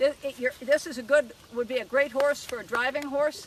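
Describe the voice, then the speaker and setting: At a moderate pace, a woman is talking. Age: 60s. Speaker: horse trainer. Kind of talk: live demonstration with audience.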